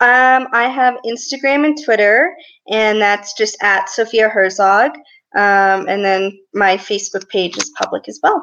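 A woman's normal speaking voice with an American accent, fairly high in pitch with ordinary pitch variation, at a fairly slow pace. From US, small town. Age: 20s. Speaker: Paralympic swimmer. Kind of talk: interview.

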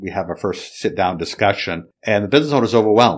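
A man is speaking. His pace is very fast. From Maine, Lewiston. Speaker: accountant and exit planning advisor. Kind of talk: podcast interview. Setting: studio.

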